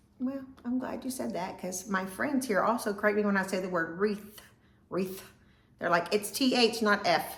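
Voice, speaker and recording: Amid noticeable background noise and audible room echo, a woman at medium pitch talks at a moderate pace with ordinary pitch variation. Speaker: vlogger. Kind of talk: casual vlog chat.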